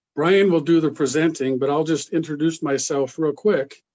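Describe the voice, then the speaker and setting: Delivered fairly slowly, the words carry fairly even intonation. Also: man. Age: 60s. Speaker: basketball referee organizer. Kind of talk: introduction at training session.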